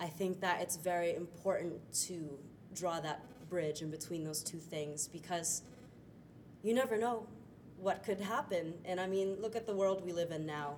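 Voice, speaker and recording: A woman with a fairly low pitch and an American accent speaks at a moderate pace with ordinary pitch variation and long, frequent pauses, over noticeable background noise. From Florida, US. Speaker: stage actor. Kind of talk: interview. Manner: hesitant with fillers.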